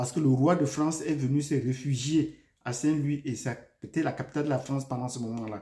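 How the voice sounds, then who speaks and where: In a very clean recording with a silent background, a somewhat breathy voice with a Cameroonian accent carries a dark, mellow tone and fairly even intonation. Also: man, fairly high pitch for a man. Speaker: YouTube commentator and teacher. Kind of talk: video commentary. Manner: hesitant, with frequent fillers.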